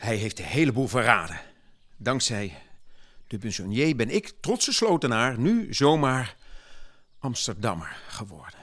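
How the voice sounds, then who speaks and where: A man's medium-pitched voice at a fairly slow pace, with lively intonation and long, frequent pauses. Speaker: gentleman farmer and municipal councillor (dramatized historical character). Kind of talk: period speech dramatization, in-character monologue delivered to an audience.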